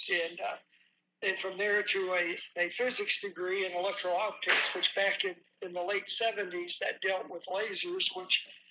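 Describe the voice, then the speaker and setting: A man projects a raised voice with a bright, sharp tone and a high pitch. His delivery is monotone and flat, at a moderate pace. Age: 70s. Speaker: former aerospace engineer. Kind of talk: interview storytelling.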